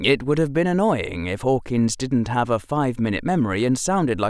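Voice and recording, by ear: With lively intonation, this is reading aloud in a natural voice.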